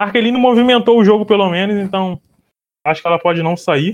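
The man speaks at a moderate pace. His pitch shows ordinary variation. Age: 20s. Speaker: journalist. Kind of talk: casual chat.

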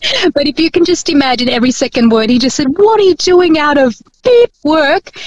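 A woman's high voice with very wide pitch swings and very even loudness, at a moderate pace, in a dry, close sound with no echo. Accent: Australian. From Philippines.

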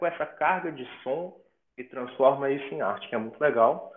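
This is an unremarkable speaking voice from a man at a medium pitch. He keeps a moderate pace with lively intonation. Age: 20s. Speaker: musician and music teacher. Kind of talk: interview.

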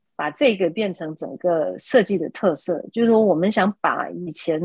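Heard in a dry, close sound with no echo, a woman with an unremarkable speaking voice talks at a medium pitch with lively intonation. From Malaysia. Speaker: architect. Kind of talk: interview.

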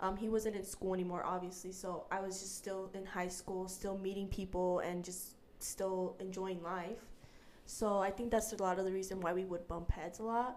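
With audible room echo, a woman with a medium pitch speaks in an American accent with monotone, flat intonation. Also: moderate pace. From Utah. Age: 20s. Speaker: young mother sharing her story. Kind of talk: casual interview.

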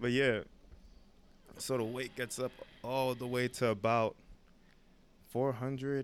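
This is a man speaking with a New York accent. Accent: New York City. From New York City (Brooklyn). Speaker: podcast co-host, fitness coach. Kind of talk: casual chat.

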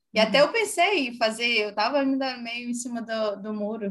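Fairly even intonation marks a woman's somewhat breathy voice as she talks at a moderate pace. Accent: Brazilian. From Brazil. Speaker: HR director. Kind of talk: casual interview. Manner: hesitant, many fillers.

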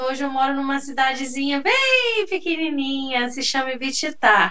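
A raised, projected voice at a fairly slow pace, with audible room echo and noticeable background noise. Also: woman. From São Gonçalo, Rio de Janeiro state, Brazil. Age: 30s. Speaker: history teacher and researcher. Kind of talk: casual interview chat. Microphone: unstable connection, switched to 3G.

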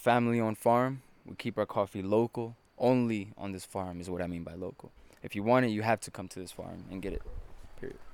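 Talking at a fairly quick pace in a Spanish accent, a man with a fairly low pitch shows big swings in loudness. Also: fairly even intonation. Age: 20s. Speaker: coffee farm tour guide. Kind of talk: guided tour explanation. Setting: outdoors.

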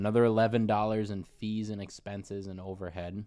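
In an ordinary speaking voice, a man talks at a moderate pace with a fairly low pitch and fairly even intonation, on a very clean recording with a silent background. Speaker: sneaker podcast co-host. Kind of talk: casual chat. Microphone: new microphone, clearer audio than before.

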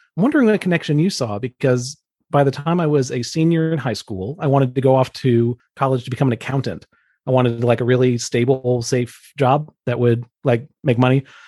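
A man with an ordinary speaking voice talks at a fairly quick pace in an American accent. His medium pitch varies in an ordinary way. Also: dry, close sound with no echo. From US South, Atlanta, Georgia. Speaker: coworker, former college ministry worker. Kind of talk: casual chat.

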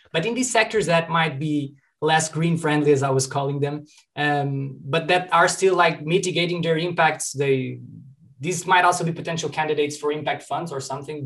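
The man's voice sits fairly high and keeps a fairly even intonation. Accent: Portuguese. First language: Portuguese. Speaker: student podcast host. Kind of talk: interview.

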